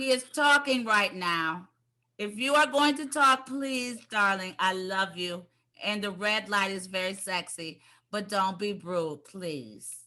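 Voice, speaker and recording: Speaking at a very slow pace in an American accent, a woman has a bright, sharp tone and lively intonation. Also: medium pitch for a woman. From Cleveland, Ohio. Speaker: talk show host. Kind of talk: casual interview. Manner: animated.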